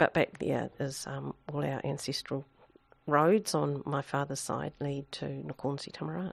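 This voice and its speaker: A woman with a New Zealand accent speaks at a fairly slow pace. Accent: Kiwi. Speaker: public health director, former coroner. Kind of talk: interview. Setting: office.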